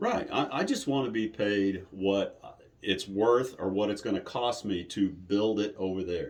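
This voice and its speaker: Talking at a fairly slow pace, a man with a fairly low pitch and fairly even intonation has an unremarkable speaking voice. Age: 60s. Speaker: haunted attraction owner. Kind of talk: interview. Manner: casual, conversational.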